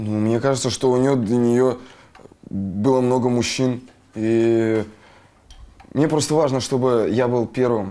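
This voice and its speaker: A man speaks at a very slow pace with long, frequent pauses, medium pitch and fairly even intonation. His loudness stays very even over noticeable background noise. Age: 20s. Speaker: patient. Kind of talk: consultation. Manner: halting.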